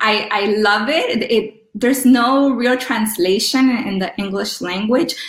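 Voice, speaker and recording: The speech comes at a fairly slow pace with ordinary pitch variation over noticeable background noise. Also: woman. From Los Angeles, US. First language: Spanish. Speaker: professor and scholar in residence. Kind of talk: interview with testimony. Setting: remote call from Rome.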